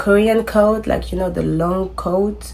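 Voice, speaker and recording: Speaking with a French accent, a woman takes a fairly slow pace. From France. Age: 20s. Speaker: content creator. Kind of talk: casual vlog talk.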